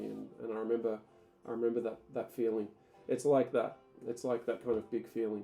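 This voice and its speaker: The delivery moves at a moderate pace. Behind it, music can be heard. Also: man. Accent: Australian. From Tasmania, Australia. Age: 30s. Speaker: ESL teacher. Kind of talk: casual talk to camera.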